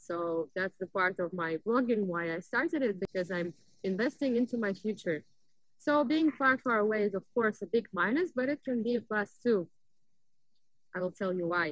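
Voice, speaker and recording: A woman with a Russian accent speaks at a medium pitch and a moderate pace, with lively intonation. The sound is dry and close, with no echo. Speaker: vlogger. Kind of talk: casual vlog talk. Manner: animated.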